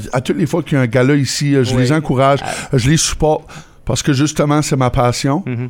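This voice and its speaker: A man talks at a very fast pace with a fairly high pitch. His intonation stays fairly even. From northern New Brunswick, Canada (Campbellton area). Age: 30s. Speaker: car dealership owner. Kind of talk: casual interview.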